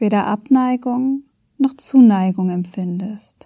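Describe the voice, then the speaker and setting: Very slowly, a woman speaks at a fairly high pitch with ordinary variation, her somewhat breathy voice carrying a dark, mellow, calm, gentle tone. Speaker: podcast host and meditation guide. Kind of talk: guided meditation. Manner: slow, calm, soft-spoken, with long pauses; gentle, soothing, warm.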